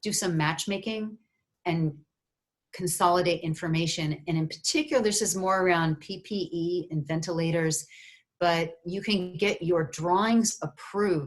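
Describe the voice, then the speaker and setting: A woman speaks at a moderate pace in a fairly low, somewhat breathy voice. Her pitch varies in an ordinary way. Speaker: university research funding advisor. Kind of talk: webinar presentation. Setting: video conference.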